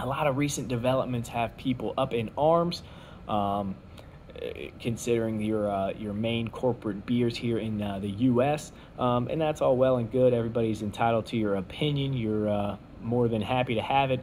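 Light background noise sits behind a man speaking. He keeps a moderate pace with ordinary pitch variation. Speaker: beer review vlogger. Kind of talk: casual vlog chat. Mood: relaxed, opinionated. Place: home room. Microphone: phone near.

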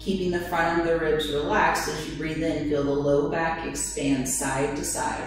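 A woman with a very deep, low voice speaks at a moderate pace with fairly even intonation. Strong room echo and noticeable background noise fill the recording. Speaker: yoga instructor. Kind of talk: guided yoga instruction. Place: home room.

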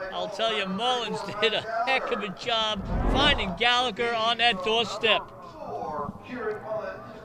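Fairly slow speech with ordinary pitch variation, over noticeable background noise. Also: man, high pitch for a man. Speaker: color commentator. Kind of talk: live sports commentary. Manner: conversational, relaxed analysis with chuckles.

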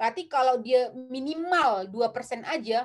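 A high-pitched woman's voice with lively intonation against a quiet background. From North Sumatra, Indonesia (Tarutung, Batak area); North Sumatra, Indonesia. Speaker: film director; guest. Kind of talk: interview. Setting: live stream. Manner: hesitant, many filler sounds. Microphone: webcam.

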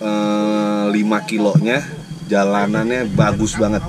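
At a very slow pace, a man speaks with a fairly low pitch. Noticeable background noise is present. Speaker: travel vlogger. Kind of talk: casual vlog chat. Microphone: phone near.

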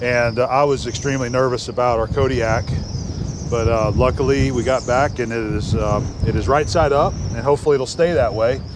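There is noticeable background noise as a man talks at a fairly quick pace with very even loudness. The sound is dry, with no echo. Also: ordinary pitch variation. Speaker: travel vlogger. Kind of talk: casual vlog chat. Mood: relieved but worried. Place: open country. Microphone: lapel.

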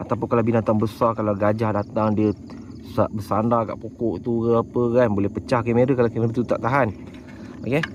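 A man speaks at medium pitch and a moderate pace. Noticeable background noise can be heard. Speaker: wildlife camera trap youtuber. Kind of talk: product review. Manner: casual, conversational.

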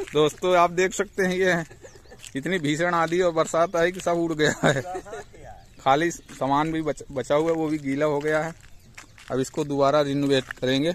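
The speech comes at a fairly slow pace with fairly even intonation. The sound is dry with no echo, and there is light background noise. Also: man. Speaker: site contractor. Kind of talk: casual vlog commentary. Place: open country. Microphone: phone near.

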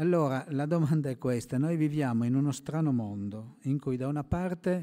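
Against a quiet background, a man speaks at a moderate pace. His tone is dark and mellow, with ordinary pitch variation. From Italy. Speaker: moderator. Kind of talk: panel moderation. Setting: stage with audience. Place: hall. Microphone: podium.

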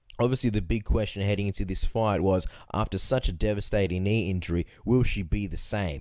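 A man with a fairly low pitch and a dark, mellow tone talks at a fairly quick pace in an Australian accent. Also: very clean recording, silent background. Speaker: MMA podcast co-host. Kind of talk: casual interview and fight analysis chat.

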